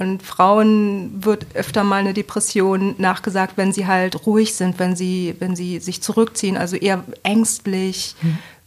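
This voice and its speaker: A woman talks at a fairly slow pace with hardly any pauses, her intonation monotone and flat, over noticeable background noise. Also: medium pitch for a woman. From Bremen, northern Germany. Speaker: coordinator in mental health and addiction support. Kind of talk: interview.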